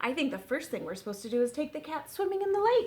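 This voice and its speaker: A woman uses a put-on character voice at a high pitch, with very wide pitch swings. She talks at a very fast pace. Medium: read story.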